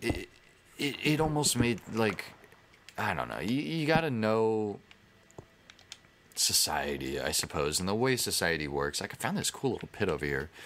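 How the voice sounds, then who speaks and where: With an American accent and a fairly low pitch, a man speaks at a fairly slow pace with very wide pitch swings against noticeable background noise. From United States. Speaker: gaming YouTuber. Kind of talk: casual gameplay commentary. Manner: rambling, halting with false starts.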